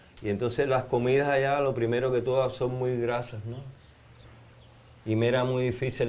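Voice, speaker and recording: Male speaker with audible room echo. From Cuba. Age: 70s. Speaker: anthropologist and religious researcher. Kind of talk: interview.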